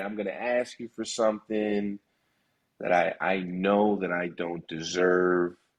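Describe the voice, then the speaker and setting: The voice belongs to a man. His pitch is fairly low. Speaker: negotiation trainer. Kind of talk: casual interview.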